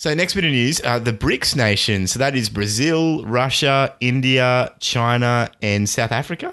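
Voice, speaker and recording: A man with an unremarkable speaking voice talks at a medium pitch and a fairly slow pace. His pitch varies an ordinary amount over a quiet background. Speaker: tech podcast co-host. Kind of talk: casual chat. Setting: remote call.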